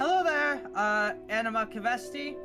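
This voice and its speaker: A man's put-on character voice at an extremely high pitch and moderate pace, over loud music in the background. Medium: actual play.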